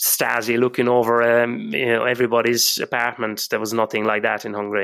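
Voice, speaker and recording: Fairly quick delivery in a monotone, with flat intonation. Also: man, medium pitch for a man. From Hungary, lives in Ireland. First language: Hungarian. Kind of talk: interview answer, recounting childhood memories.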